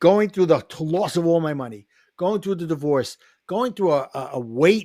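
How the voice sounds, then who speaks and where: A man with a New York accent, high pitch, lively intonation and a moderate pace. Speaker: life coach and author. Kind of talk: podcast interview.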